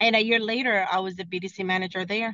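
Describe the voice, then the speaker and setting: A woman's medium-pitched voice at a fairly quick pace with ordinary pitch variation. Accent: Spanish. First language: Spanish. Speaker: car dealership sales director. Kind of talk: podcast interview. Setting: in a car, video call. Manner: halting, many fillers.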